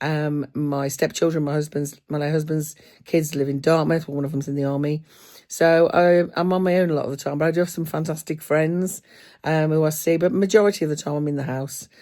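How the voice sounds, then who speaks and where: A woman with an English Midlands accent speaks at a fairly quick pace in a very deep, low voice with a dark, mellow tone and fairly even intonation, on a very clean recording with a silent background. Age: 50s. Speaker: booktuber. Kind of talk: casual chat. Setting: at home. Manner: halting.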